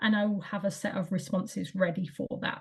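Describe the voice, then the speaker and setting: Her intonation stays fairly even, and the woman's voice sounds somewhat breathy. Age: adult. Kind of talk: presentation. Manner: monotone; hesitant with fillers.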